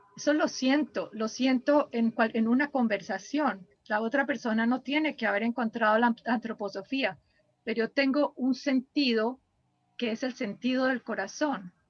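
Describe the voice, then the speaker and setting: Recorded with a dry, close sound and no echo, a woman speaks at a moderate pace in a high pitch with ordinary variation. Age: 70s. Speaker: biographical counselor. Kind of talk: interview.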